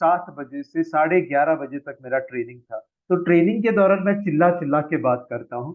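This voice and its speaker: This man's voice sits at a fairly high pitch. His pitch varies in an ordinary way. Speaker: forex trading trainer. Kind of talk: sales presentation of a training course. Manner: slow, relaxed and casual; quieter than usual.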